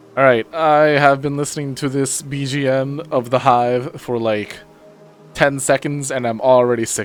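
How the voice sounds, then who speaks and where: A man with a medium-pitched voice talks while music plays behind him. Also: moderate pace. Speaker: VTuber. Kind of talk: casual game commentary. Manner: casual, chatty.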